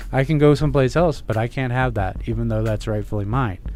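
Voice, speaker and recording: A man is speaking. Music plays in the background. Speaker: medical marijuana patient. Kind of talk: personal story in radio interview.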